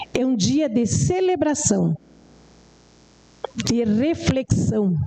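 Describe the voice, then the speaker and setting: At a very slow pace, a woman with a fairly high voice makes very wide pitch swings against noticeable background noise. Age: 60s. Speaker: rural settler and community educator. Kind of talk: formal speech to city council. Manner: formal, occasionally halting.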